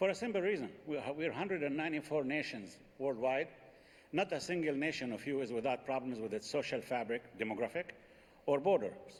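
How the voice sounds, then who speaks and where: A man with an Arabic accent speaks fairly quickly in a fairly high pitch, his intonation lively. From Palestine (Jericho). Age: 60s. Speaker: Palestinian politician. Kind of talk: panel debate.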